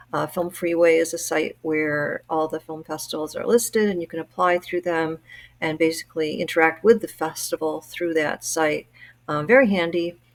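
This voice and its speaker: Speaking at a moderate pace, a woman has a fairly low pitch and fairly even intonation. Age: 60s. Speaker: amateur filmmaker. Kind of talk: casual vlog talk. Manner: hesitant, many fillers.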